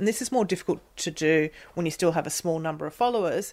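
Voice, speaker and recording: A woman speaks at a fairly quick pace in a very deep, low pitch, on a very clean recording with a silent background. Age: 30s. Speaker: podcast host. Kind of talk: interview.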